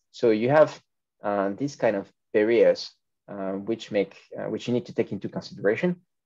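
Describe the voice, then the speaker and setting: Over a quiet background, a man with a French accent speaks in a dark, mellow tone. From France. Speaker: food retail consultant; webinar speaker. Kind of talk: panel discussion. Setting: video call. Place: home room. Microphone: video call.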